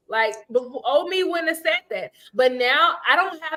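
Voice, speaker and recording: At a moderate pace, a woman speaks in a raised, projected voice with a bright, sharp tone, an animated delivery and very wide pitch swings. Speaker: podcast co-host. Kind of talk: casual chat. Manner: loud.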